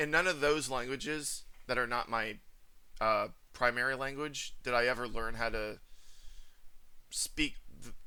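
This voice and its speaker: With an American accent, a man talks at a moderate pace and medium pitch, leaving long, frequent pauses. His tone is bright and sharp, and his intonation fairly even. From US Northeast, New Jersey. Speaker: channel host, men's rights activist. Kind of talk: casual conversation.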